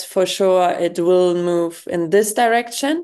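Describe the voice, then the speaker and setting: A woman's very slow speech in a German accent, fairly low in pitch with a dark, mellow tone, over a quiet background. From Germany. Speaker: youth organization president. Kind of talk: interview. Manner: hesitant, many fillers.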